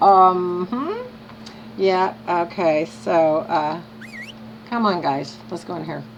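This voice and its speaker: Over noticeable background noise, a woman with a fairly low pitch speaks very slowly with long, frequent pauses, very wide pitch swings and big swings in loudness. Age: 70s. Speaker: video game streamer. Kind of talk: casual gameplay commentary. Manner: animated.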